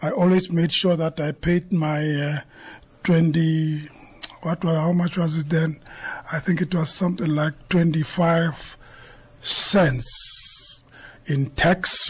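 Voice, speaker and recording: A very slow pace with long, frequent pauses. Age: 70s. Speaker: retired entrepreneur. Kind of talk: casual interview.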